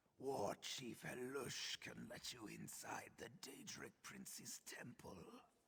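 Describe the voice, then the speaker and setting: Putting on a raspy character voice, a man talks at a fairly slow pace. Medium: video game. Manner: ominous, earnest.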